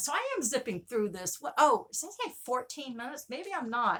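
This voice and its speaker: Her voice high-pitched, bright and sharp, a woman speaks in an animated tone with very wide pitch swings. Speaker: vinyl record collector vlogger. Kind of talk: casual show-and-tell video.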